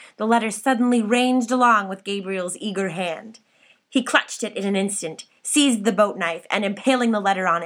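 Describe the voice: What is heard here is plain reading aloud.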